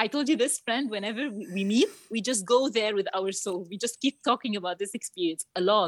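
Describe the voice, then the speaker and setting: Speaking fairly quickly with an Arabic accent, a woman has a fairly high pitch and ordinary pitch variation, the sound dry and close with no echo. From Egypt, Cairo. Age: 30s. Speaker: marketing manager and youth coach. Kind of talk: interview testimony. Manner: halting, repetitive.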